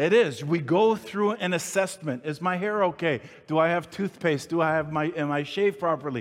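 Ordinary pitch variation and a moderate pace from a man with a high-pitched voice. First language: not English. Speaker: pastor. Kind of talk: sermon. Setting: church with congregation. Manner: stuttering at times.

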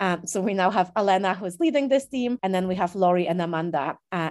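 A woman with an ordinary speaking voice, medium pitch and lively intonation against a quiet background. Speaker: charity CEO. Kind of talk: casual interview. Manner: informal, filler-heavy.

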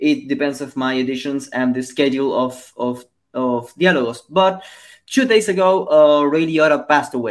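On a very clean recording with a silent background, a man talks at a moderate pace with a fairly high pitch and ordinary pitch variation. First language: Spanish. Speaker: podcast host. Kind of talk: interview. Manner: halting.

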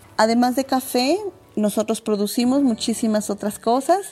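A woman speaks at a moderate pace in a dark, mellow tone. Her pitch varies in an ordinary way. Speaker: coffee farmer and agroecologist. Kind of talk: interview testimony. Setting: remote recording from coffee farm.

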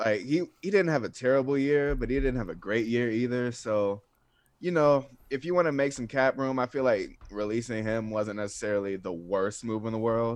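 A man speaks with an American accent in a plain, everyday voice. His pitch is medium with ordinary variation, and his pace is moderate. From US South, North Atlanta, Georgia. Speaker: sports writer. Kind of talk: casual chat.

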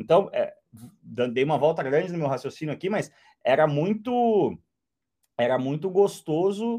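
With long, frequent pauses, a man speaks at a high pitch in a dark, mellow tone with lively intonation. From southern Brazil, Porto Alegre. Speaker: motoring journalist and racing driver. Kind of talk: casual chat.

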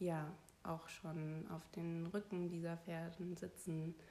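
A woman speaks very slowly at a fairly low pitch, in a flat monotone. Her tone is dark and mellow, and somewhat breathy. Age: 30s. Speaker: podcast guest sharing personal story. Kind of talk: personal testimony interview.

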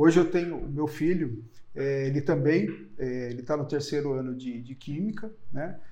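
A man with a fairly high voice speaks at a moderate pace. His pitch varies in an ordinary way, and room echo is audible. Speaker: chemist, analytical services company head. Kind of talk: interview conversation. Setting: his company's premises, in person. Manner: halting.

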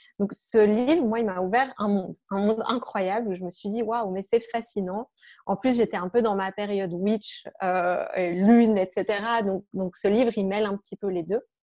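At a moderate pace, a woman speaks in a dark, mellow tone with a medium pitch and fairly even intonation. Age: 40s. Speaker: health coach and yoga teacher. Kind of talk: interview.

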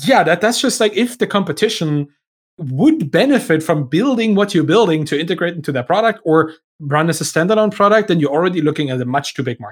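The speech comes at a very fast pace in a German accent. The intonation is lively. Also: man, high pitch for a man. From Germany. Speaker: software entrepreneur and writer. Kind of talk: podcast interview. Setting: remote call.

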